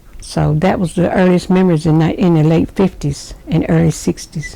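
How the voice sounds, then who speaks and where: The speaker uses fairly even intonation at a moderate pace, with a Southern US accent. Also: woman. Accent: Southern US (Georgia). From US South, Rome, Georgia. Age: 60s. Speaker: interviewee, grandmother. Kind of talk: oral history interview.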